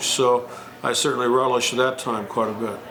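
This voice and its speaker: A man with a Midwestern US accent, medium pitch and a moderate pace, amid noticeable background noise and audible room echo. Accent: US Midwest. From Moline, Illinois, US Midwest. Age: 60s. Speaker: musician, retired high school band director. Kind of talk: oral history interview. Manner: halting, many fillers.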